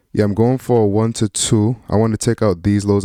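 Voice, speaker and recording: In a dark, mellow tone and a fairly low pitch, a man speaks at a moderate pace with fairly even intonation, recorded very cleanly against a silent background with a dry, close sound and no echo. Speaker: day trader. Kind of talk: trading commentary. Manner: casual.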